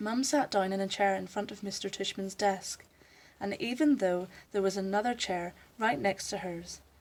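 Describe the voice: The speaker does plain reading aloud.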